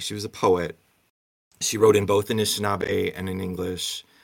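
A plain, everyday voice moves at a moderate pace, with the background silent in this very clean recording. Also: man. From Michigan (Muskegon). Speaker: theater professor. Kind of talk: interview.

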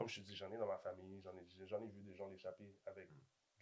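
Very fast, fairly low male voice in a monotone, flat intonation. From Montreal-Nord, Quebec. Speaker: podcast host. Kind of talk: casual chat.

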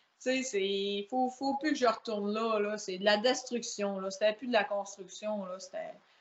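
A woman with an unremarkable speaking voice talks at a fairly slow pace, her fairly high pitch showing ordinary variation. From Quebec, Saguenay (La Baie). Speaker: powerlifter. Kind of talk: casual chat.

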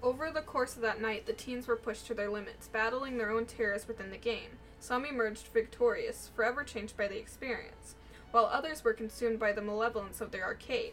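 Fairly quick speech from a woman, music playing in the background. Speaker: podcast co-host. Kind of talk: horror narration, reading creepypasta aloud.

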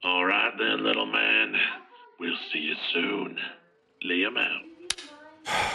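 A man speaks in a raspy, very deep, low pitch. He goes at a very slow pace with long, frequent pauses. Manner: condescending, threatening.

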